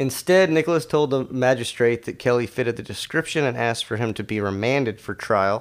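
An ordinary speaking voice: a man with an American accent, medium pitch, moderate pace and lively intonation. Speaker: podcast co-host and editor. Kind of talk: casual chat with reading aloud. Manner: joking, casual.

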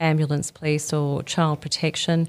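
Speaking at a moderate pace, a woman with an Australian accent has a very deep, low pitch. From Australia (Sydney, Melbourne, Brisbane). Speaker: head of research at a youth helpline charity. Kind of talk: interview.

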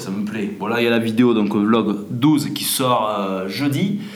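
A man talks at a very slow pace with hardly any pauses, his medium pitch showing ordinary variation. There is audible room echo and noticeable background noise. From France. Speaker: hunting podcast host. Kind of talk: casual monologue. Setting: indoors at home. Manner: halting, many repetitions.

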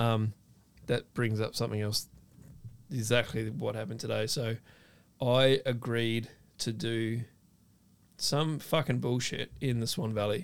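Pausing long and often, a man at medium pitch talks at a fairly slow pace with fairly even intonation. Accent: Australian. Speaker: food content creator and ex-chef. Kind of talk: casual chat.

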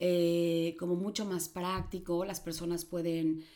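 A woman speaks at a fairly slow pace and a fairly low pitch. Noticeable background noise runs underneath. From Mexico City and Chihuahua, Mexico. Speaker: psychologist and life coach. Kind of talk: casual interview.

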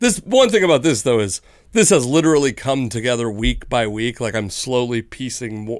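A man with a normal speaking voice, medium pitch, lively intonation and moderate pace, on a very clean recording with a silent background. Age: 30s. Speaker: sports podcast co-host. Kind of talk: casual chat. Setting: studio.

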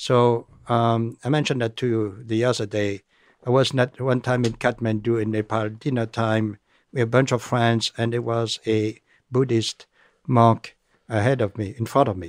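Against a quiet background, a man speaks at a moderate pace and a medium pitch. His intonation is monotone and flat, in a dry, close sound with no echo. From France. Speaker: engineer and nonprofit founder. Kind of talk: casual interview conversation.

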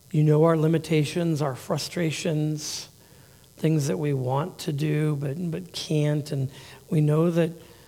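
A dark, mellow voice at a very slow pace, with fairly even intonation and audible room echo. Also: man. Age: 50s. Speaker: pastor. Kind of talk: sermon. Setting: church. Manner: halting.

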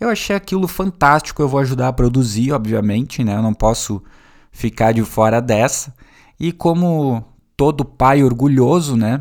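Very clean with a silent background, this recording has a man speaking at a moderate pace in a medium pitch with an unremarkable speaking voice. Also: ordinary pitch variation. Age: 30s. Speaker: podcast host and teacher. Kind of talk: solo podcast monologue. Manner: casual and conversational.

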